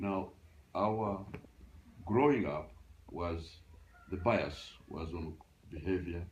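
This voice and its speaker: Vocal fry is heard in the voice, along with audible room echo. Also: man. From Uganda. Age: 80s+. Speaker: retired librarian. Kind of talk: interview. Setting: at home. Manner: halting.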